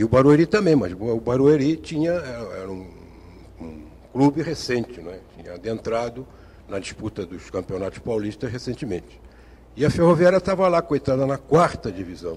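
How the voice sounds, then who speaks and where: At a moderate pace, a man speaks at medium pitch in a somewhat breathy voice, with very wide pitch swings and big swings in loudness. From Brazil, Rio de Janeiro. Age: 60s. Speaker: retired engineer and writer, football fan. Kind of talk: TV interview.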